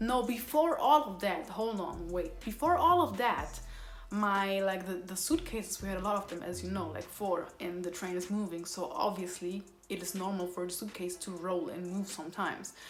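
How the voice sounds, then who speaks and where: Audible room echo surrounds the voice. A woman speaks in a medium pitch. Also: ordinary pitch variation, moderate pace. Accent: Somali. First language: Somali. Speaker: YouTuber. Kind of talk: storytime vlog. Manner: animated.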